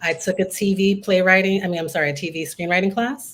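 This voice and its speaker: Medium-pitched female voice with a New York accent. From Queens, New York. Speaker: writer, performer, teaching artist. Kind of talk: interview answer.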